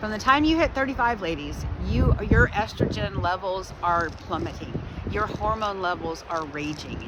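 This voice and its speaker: Speaking over noticeable background noise, a woman with a fairly low pitch uses an animated tone and lively intonation. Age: 60s. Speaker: network marketing distributor. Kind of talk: sales pitch.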